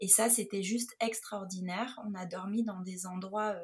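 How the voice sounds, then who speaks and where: Somewhat breathy, a woman's medium-pitched voice moves at a fairly slow pace with fairly even intonation. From Nice, southern France. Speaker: photographer and travel blogger. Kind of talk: interview, personal travel account. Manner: hesitant, with many fillers.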